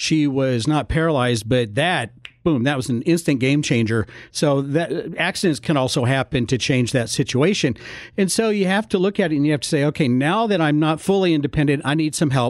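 A man speaks in a normal speaking voice, pitched fairly high, with lively intonation and very even loudness. The recording is very clean, with a silent background. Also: fairly quick pace. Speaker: senior care consultant. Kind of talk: radio interview. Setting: studio.

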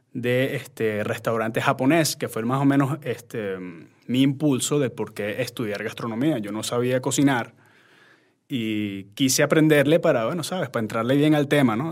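Using a plain, everyday voice, a man with a medium pitch talks at a moderate pace with ordinary pitch variation. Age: 30s. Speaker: chef and social media content creator. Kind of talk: casual interview.

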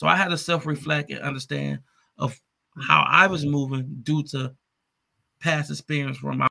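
With an American accent, a man speaks in a bright, sharp tone at a fairly high pitch, keeping fairly even intonation at a moderate pace. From Detroit, Michigan, US. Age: 30s. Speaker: entrepreneur. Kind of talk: interview.

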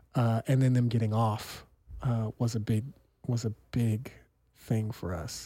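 Speaking in an American accent, a man with a medium-pitched, dark, mellow and somewhat breathy voice goes at a fairly slow pace with fairly even intonation and long, frequent pauses. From Sacramento, California. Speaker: newspaper publisher. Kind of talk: casual chat. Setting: studio.

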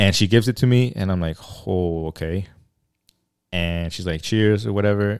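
This man has a very deep, low pitch and an American accent. He speaks with ordinary pitch variation and long, frequent pauses. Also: moderate pace, very clean recording, silent background. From Mexico. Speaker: podcast host. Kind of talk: casual chat.

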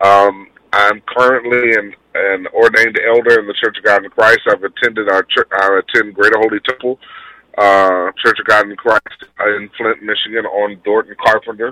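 With an American accent, a man speaks in an unremarkable speaking voice at medium pitch. His pace is moderate, and the sound is dry and close with no echo. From Houston, Texas. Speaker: city council candidate. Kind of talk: radio interview, campaign talk. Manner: earnest, polite, with frequent um's.

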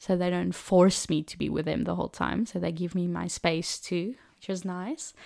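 With a South African accent, a woman talks at a moderate pace. The recording is very clean, with a silent background. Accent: Afrikaans South African English. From South Africa, Cape Town. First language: Afrikaans. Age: 20s. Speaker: au pair and trained teacher. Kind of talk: casual interview. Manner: laughs often.

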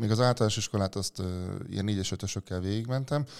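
The recording of this man is very clean, and the background is silent. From Hungary, Veszprém county (village of Rédé). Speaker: weightlifter. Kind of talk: interview. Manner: hesitant, with fillers.

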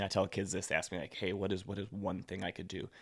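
The speaker has an ordinary speaking voice with fairly even intonation. The recording is very clean, with a silent background. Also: man. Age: 30s. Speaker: professional middle-distance runner. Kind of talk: interview.

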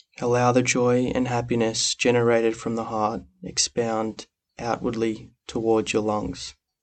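The tone is calm and soothing, with monotone, flat intonation. The pace is fairly slow. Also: man, medium pitch for a man. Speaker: meditation guide. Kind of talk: guided meditation. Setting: podcast recording. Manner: slow, soft-spoken, calm and soothing with long pauses; gentle, instructive, warm.

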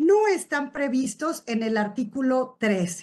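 Lively intonation against a quiet background. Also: woman. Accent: Mexican. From Uruapan, Michoacán, Mexico. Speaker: tax lawyer and business owner. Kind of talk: expert presentation on tax law.

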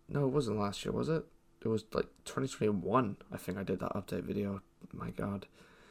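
A man speaks at a fairly quick pace with a fairly low pitch and vocal fry. His intonation is lively. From Ireland. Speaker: podcaster and student creator. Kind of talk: casual solo ramble. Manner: rambling, halting, with many fillers.

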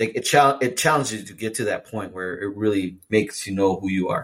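An ordinary speaking voice belongs to a man with a fairly low pitch. He talks at a fairly quick pace with ordinary pitch variation. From Mexican-American heritage. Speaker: podcast co-host. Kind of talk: casual chat.

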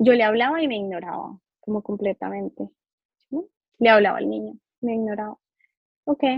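A woman speaks at a fairly quick pace. She leaves long, frequent pauses. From Colombia. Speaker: psychologist. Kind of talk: interview.

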